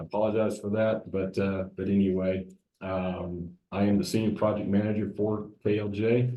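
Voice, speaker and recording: With a Southern US accent, a man talks at a moderate pace in a fairly low, monotone, flat voice, with audible room echo. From US South. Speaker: civil engineer. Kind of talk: public presentation. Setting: council meeting room with audience. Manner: hesitant with many fillers.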